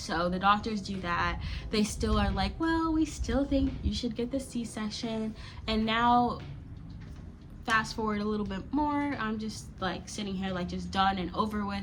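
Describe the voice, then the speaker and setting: A woman speaks with a plain, everyday voice and an American accent. Her pitch is medium, her intonation lively, and her pace fairly slow. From Florida, USA. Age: 20s. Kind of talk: casual storytime talk to camera.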